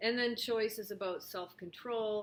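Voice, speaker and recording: This is a woman's voice. Her intonation stays fairly even. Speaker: behavioral health coach and yoga teacher. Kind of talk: casual talk to camera. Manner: slow, deliberate; hesitant, with filler words.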